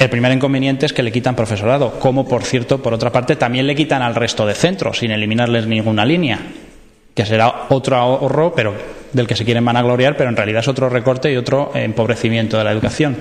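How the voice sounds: Fast and fairly even in intonation, a man speaks at a medium pitch.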